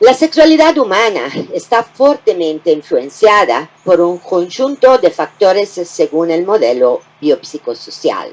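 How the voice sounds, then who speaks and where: A woman with an Italian accent at medium pitch, very wide pitch swings, a fairly slow pace and hardly any pauses. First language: Italian (speaking Spanish). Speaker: gynecology professor. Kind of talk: lecture.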